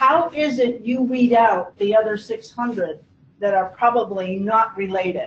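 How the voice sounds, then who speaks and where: A woman talks at a fairly slow pace and a fairly high pitch. There is noticeable background noise. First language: not English. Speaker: genealogical society moderator. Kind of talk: Q&A moderation.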